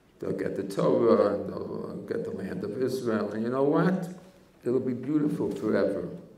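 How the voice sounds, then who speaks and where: Moderately paced speech from a man, noticeable background noise and audible room echo around it. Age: 80s+. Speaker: rabbi, head of a yeshiva. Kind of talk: Torah talk.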